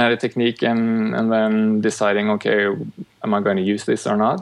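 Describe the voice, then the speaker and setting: Moderate pace in a Norwegian accent. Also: man. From Norway. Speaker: chiropractor and medical student. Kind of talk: interview. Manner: slightly halting, searching for words.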